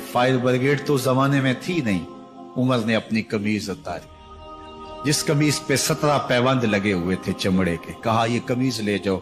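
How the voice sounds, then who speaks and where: Music plays in the background behind a man. His medium pitch carries lively intonation. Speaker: Islamic preacher delivering a bayan. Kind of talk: emotional religious sermon (bayan) telling stories of a caliph. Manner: passionate, dramatic, with exclamations.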